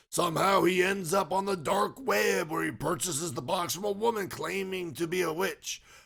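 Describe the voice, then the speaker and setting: Putting on a raspy character voice at a high pitch, a man talks with hardly any pauses. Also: moderate pace. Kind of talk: horror movie review narration. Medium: solo performance. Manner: scripted, dramatic storytelling.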